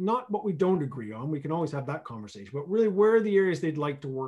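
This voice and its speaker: A man speaks very fast with lively intonation. His pitch is fairly high. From Canada. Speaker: regional economic development executive and planner. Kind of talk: radio interview. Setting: remote call from home region. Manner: animated.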